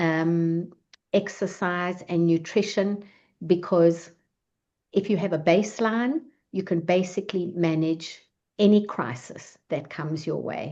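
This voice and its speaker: A woman speaks with a dark, mellow tone at a fairly low pitch and ordinary pitch variation. She talks at a fairly slow pace over a quiet background. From South Africa. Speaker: psychologist giving talk. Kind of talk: online talk. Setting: video call.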